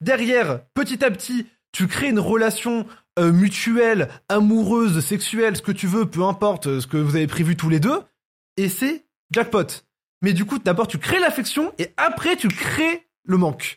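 The recording is very clean, with a silent background. A high-pitched man speaks at a fairly slow pace with very wide pitch swings. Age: 20s. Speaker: YouTuber and podcast host. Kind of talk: casual chat.

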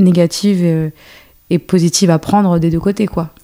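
A woman's fairly low voice, dark and mellow in tone, with fairly even intonation. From France, Paris banlieue. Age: 30s. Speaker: choreographer and dance teacher. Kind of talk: casual chat.

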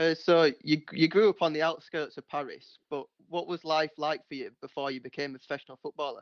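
The speaker has a plain, everyday voice and a fairly quick pace with hardly any pauses. Intonation stays fairly even while loudness swings widely. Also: man, fairly high pitch for a man. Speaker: podcast host. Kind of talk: interview.

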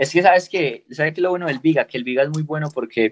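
The sound is dry and close with no echo. A man with an unremarkable speaking voice talks at a fairly quick pace with ordinary pitch variation. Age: 20s. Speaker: skateboarder. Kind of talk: interview.

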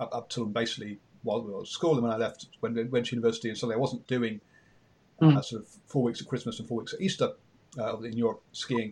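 A man speaks with an English accent. His intonation stays fairly even. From England. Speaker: radio host. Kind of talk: interview.

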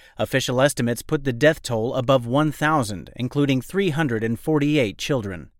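Recorded very cleanly against a silent background, a man speaks at a medium pitch with lively intonation. His is a plain, everyday voice. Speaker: news presenter. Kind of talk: formal newsreading: crisp, scripted bulletin of world-affairs analysis. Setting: studio. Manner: measured, even-paced and authoritative; serious, polished delivery with little emotion.

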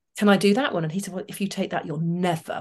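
A woman's voice against a quiet background. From Manchester, northern England. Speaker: former military pilot and motivational speaker. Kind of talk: interview conversation.

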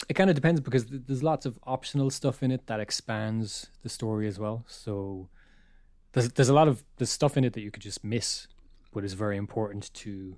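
A man's medium-pitched voice with an Irish accent, fairly quick, with ordinary pitch variation and big swings in loudness, in a very clean recording with a silent background. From Ireland. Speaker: illustrator and podcast co-host. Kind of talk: casual chat.

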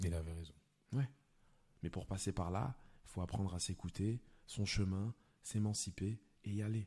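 Speaking at a moderate pace, a man uses a fairly low, somewhat breathy voice with a dark, mellow tone and fairly even intonation. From France, Lyon. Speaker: film director and stand-up comedian. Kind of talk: casual chat.

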